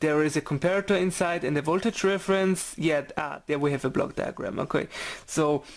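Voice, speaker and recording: With a German accent, the speaker goes at a moderate pace. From Germany. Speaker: electronics hobbyist. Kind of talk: electronics teardown tutorial. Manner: casual, hesitant.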